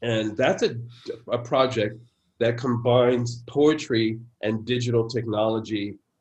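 In an American accent, a man speaks very slowly at a medium pitch, somewhat breathy and in a flat monotone. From San Francisco, US. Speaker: poet. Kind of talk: interview conversation.

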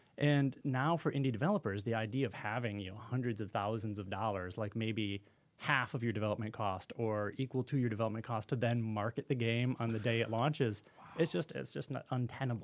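A medium-pitched male voice with ordinary pitch variation. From Michigan, US Midwest. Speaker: design professor and game developer. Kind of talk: casual podcast interview.

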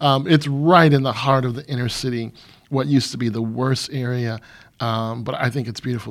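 At a moderate pace, an ordinary speaking voice keeps fairly even intonation. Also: man. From Michigan. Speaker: pastor and counselor. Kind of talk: interview.

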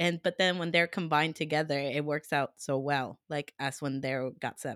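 Speaking with a Spanish accent, a woman uses a very deep, low pitch and fairly even intonation at a moderate pace, in a dry, close sound with no echo. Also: very clean recording, silent background. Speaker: podcast co-host and interviewer. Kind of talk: casual chat.

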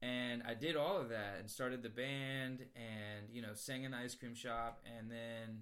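Speaking with an unremarkable speaking voice and an American accent, a man goes at a fairly slow pace with fairly even intonation and hardly any pauses. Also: medium pitch for a man. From Virginia, US East Coast. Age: 20s. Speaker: musician. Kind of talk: casual chat.

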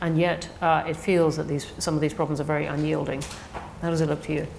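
A woman's very deep, low-pitched voice with noticeable background noise. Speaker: think tank director, interviewer. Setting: stage with audience.

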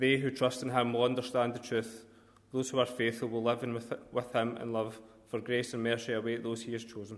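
At a fairly quick pace, a man with a medium pitch speaks in a monotone, flat intonation. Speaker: scripture reader at funeral. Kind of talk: reading aloud.

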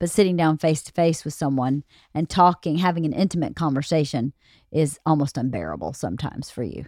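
A woman's very deep, low voice with vocal fry and ordinary pitch variation, at a very fast pace, in a dry, close sound with no echo and a very clean recording against a silent background. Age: 40s. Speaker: host's wife. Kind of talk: casual chat.

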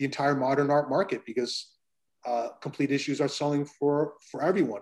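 With an American accent and a normal speaking voice, a man talks at a moderate pace in a fairly high pitch. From United States. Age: 50s. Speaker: comic art dealer and collector. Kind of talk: interview conversation.

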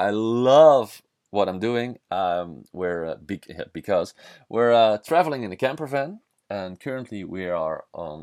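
A man talks at a fairly slow pace in a Dutch accent. His intonation is lively. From southern Netherlands. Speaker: podcaster, traveler, former kitesurfing instructor. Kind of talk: solo monologue podcast. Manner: halting, many fillers.

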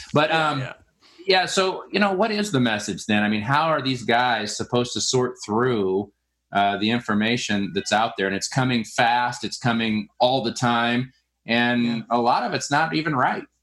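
In an ordinary speaking voice, a man talks at medium pitch and a moderate pace with lively intonation, recorded very cleanly over a silent background. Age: 40s. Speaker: podcast host, window cleaning business owner. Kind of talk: casual interview chat.

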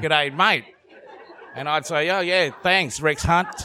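With an Australian accent, a man speaks at a fairly slow pace and a fairly high pitch while crowd noise carries in the background. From Vietnam. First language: Vietnamese. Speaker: comedian. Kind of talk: live panel discussion. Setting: stage with audience. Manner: joking.

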